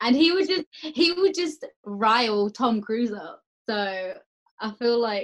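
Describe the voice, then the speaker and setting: A woman speaks with an Essex accent at a fairly high pitch. Her pitch swings very widely. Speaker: podcast guest. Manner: lively, chatty.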